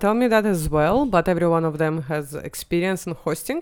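In a Russian accent, a woman talks at a fairly quick pace with very wide pitch swings on a very clean recording with a silent background. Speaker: comedian. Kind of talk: casual chat.

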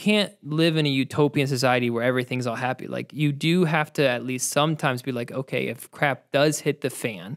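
In an ordinary speaking voice, a man talks at a moderate pace and fairly high pitch with ordinary pitch variation. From Ohio. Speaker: podcast host. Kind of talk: interview.

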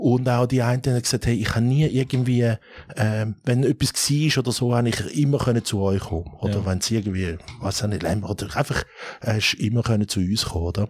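A man speaks at a medium pitch with ordinary pitch variation and a somewhat breathy quality. His loudness stays very even at a fairly quick pace. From Switzerland, Thurgau and Zurich area. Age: 50s. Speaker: restaurateur and app founder. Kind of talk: casual interview.

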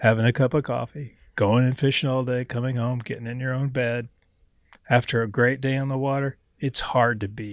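A man with an American accent speaks at a moderate pace and medium pitch, in a plain, everyday voice with fairly even intonation against a quiet background. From Missouri, the Ozarks. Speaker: fly shop owner. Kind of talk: casual chat. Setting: fly shop.

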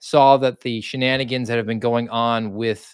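Over a quiet background with dry, close sound and no echo, a man with a normal speaking voice talks at a moderate pace, medium pitch and fairly even intonation. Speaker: podcast host. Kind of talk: casual conversational livestream. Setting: online livestream.

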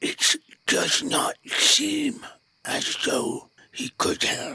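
A put-on character voice, high-pitched and raspy, at a very slow pace. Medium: actual play. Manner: formal, measured, precise.

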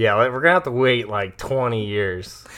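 In a very clean recording with a silent background, a man's voice comes through with a bright, sharp tone. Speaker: podcast co-host with his wife. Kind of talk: casual chat. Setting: home. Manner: animated.

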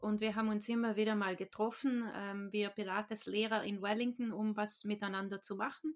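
In a monotone with flat intonation, a woman speaks at a fairly high pitch and a moderate pace. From South Tyrol, Italy. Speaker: Pilates and qigong teacher. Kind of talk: casual chat. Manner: hesitant, many fillers.

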